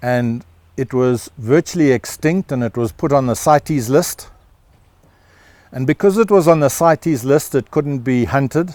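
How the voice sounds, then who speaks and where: A man with a South African accent, ordinary pitch variation, and a dry, close sound with no echo. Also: fairly high pitch for a man, moderate pace. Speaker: rancher and holistic management educator. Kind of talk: interview answer.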